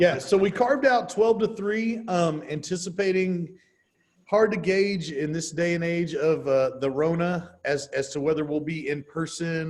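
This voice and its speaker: A man speaks in an ordinary speaking voice, pitched fairly high. His pitch varies in the usual way at a moderate pace. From Texas. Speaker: real estate trainer. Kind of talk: workshop training session. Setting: video call with live stream.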